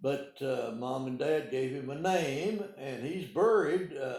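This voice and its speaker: A somewhat breathy man with an American accent, fairly high in pitch, at a very slow pace with lively intonation. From Arkansas (Calico Rock, Ozarks). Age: 80s+. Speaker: retired pharmacist. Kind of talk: oral history interview. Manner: halting, many hesitations.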